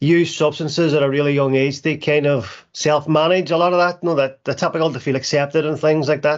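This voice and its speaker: With a Northern Irish accent, a man speaks in a fairly high, monotone voice with flat intonation. He moves at a fairly quick pace with hardly any pauses against a quiet background. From Northern Ireland (Derry). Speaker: recovery charity founder. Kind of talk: testimony. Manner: halting.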